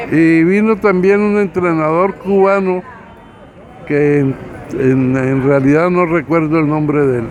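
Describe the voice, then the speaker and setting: Over crowd noise in the background, a man talks at a fairly slow pace with very even loudness. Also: fairly high pitch for a man, ordinary pitch variation. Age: 80s+. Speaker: boxing official. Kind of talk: interview. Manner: halting.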